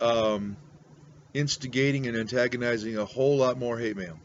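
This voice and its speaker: Moderate pace from a man with an American accent and fairly even intonation. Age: 60s. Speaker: pastor and pipe-smoking video blogger. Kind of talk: rant. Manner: grumpy, surly.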